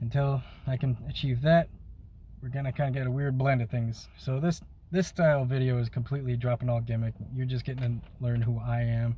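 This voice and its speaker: Somewhat breathy and dark, mellow in tone, the voice moves at a fairly quick pace. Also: man, medium pitch for a man. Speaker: YouTuber and music maker. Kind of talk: casual vlog talk to camera. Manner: unscripted, hesitant with fillers.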